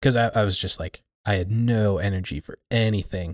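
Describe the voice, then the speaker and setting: The recording is very clean and dry, close with no echo and a silent background. A man speaks at a fairly slow pace with a fairly low pitch and fairly even intonation. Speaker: podcast host. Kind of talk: casual conversation.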